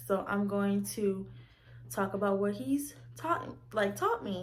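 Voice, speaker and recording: Room echo audibly surrounds this woman's speech. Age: 20s. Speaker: vlogger. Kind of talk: casual vlog monologue. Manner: animated.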